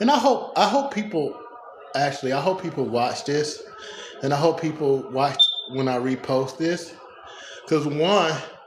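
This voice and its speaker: Noticeable background noise and audible room echo around a man's fairly high-pitched voice at a moderate pace. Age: 40s. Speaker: strongman and powerlifter vlogger. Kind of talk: casual live-stream monologue. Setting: home gym. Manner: stutter.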